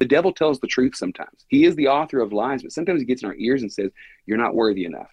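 Very fast speech in an American accent. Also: man. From Texas, Buna. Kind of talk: interview. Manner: animated.

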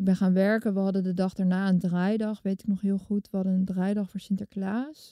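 A woman's dark, mellow tone in a monotone, flat intonation, at a fairly quick pace with hardly any pauses, on a very clean recording with a silent background. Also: medium pitch for a woman, dry, close sound with no echo. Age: 30s. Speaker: television maker. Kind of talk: personal testimony interview.

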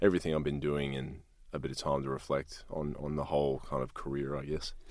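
Words come at a very fast pace with vocal fry running through them. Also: man. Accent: Australian. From Australia. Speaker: ex-soldier and speaker. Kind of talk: casual interview.

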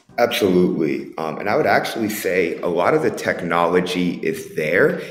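A man speaks at a moderate pace, with audible room echo and noticeable background noise around him. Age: 30s. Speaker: tech entrepreneur and former football coach. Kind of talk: casual interview.

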